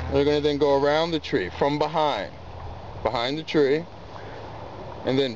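With an American accent and a fairly high pitch, a man talks in a dry sound with no echo over light background noise. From Baltimore, Maryland. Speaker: park ranger. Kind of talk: outdoor skills demonstration. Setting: outdoors. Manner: casual, with frequent fillers. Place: open country.

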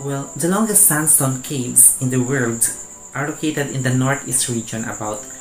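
Ordinary pitch variation over music in the background. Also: man. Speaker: review vlogger. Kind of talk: informative vlog narration. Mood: friendly, smiling. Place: home room. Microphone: lapel.

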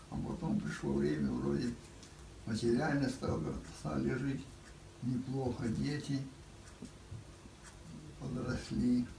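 A man with long, frequent pauses, audible room echo, and light background noise. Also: very even loudness. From Russia. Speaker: World War II veteran. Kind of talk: interview answer. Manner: slow, reflective. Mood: reflective, wistful. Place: home room. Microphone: camera far.

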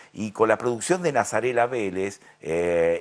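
A man at a fairly slow pace. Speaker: TV show host. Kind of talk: host introduction to camera. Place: studio. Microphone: lapel.

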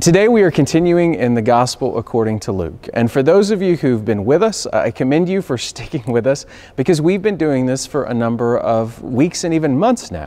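A man talks at a fairly quick pace with hardly any pauses. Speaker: minister. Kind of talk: sermon. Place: church.

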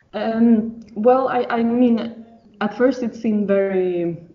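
Speaking at a fairly slow pace with a Swedish accent and ordinary pitch variation, the voice comes through noticeable background noise. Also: woman. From Sweden. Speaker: mother sharing birth story. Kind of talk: interview testimony. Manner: halting.

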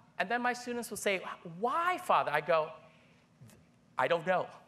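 A man's extremely high, raised and projected voice with a bright, sharp tone, very wide pitch swings, a moderate pace and long, frequent pauses. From Thailand (Bangkok), Filipino family. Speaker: priest and biology professor; priest, biology professor. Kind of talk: lecture. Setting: conference hall with audience. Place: hall.

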